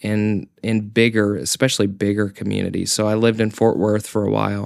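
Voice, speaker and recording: Speaking in an American accent at a moderate pace, this voice comes through on a very clean recording with a silent background. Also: man. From Oklahoma, near Tulsa. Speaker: city public relations manager. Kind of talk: casual interview chat.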